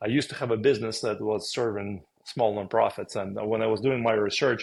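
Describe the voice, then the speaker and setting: A man with a strong Russian accent, medium pitch, fairly quick pace and fairly even intonation, against a quiet background. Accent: thick Russian. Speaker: podcast co-host, former business owner. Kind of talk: casual conversation.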